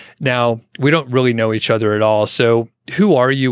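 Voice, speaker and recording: With an American accent and a plain, everyday voice, a man of medium pitch talks at a fairly quick pace with fairly even intonation. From Atlanta area, US South. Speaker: podcast host. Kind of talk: casual interview. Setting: video call.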